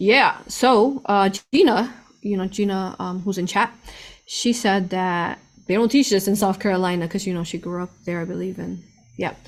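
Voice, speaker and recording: An ordinary speaking voice moves at a moderate pace with ordinary pitch variation, on a very clean recording with a silent background. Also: woman, medium pitch for a woman. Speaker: spiritual channel host, remote viewer. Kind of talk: live stream talk to chat.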